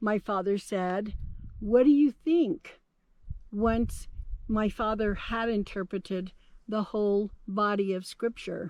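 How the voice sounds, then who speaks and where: A woman with a Navajo Nation accent speaks at a very slow pace with long, frequent pauses against a quiet background. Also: medium pitch for a woman, ordinary pitch variation. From Navajo Nation, Southwestern United States. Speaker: storyteller. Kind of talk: oral history narration.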